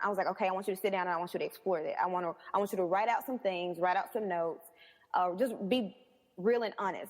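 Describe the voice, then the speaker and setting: With a Southern US accent, a woman talks at a very fast pace and a medium pitch. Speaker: personal trainer. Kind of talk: interview answer. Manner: energetic.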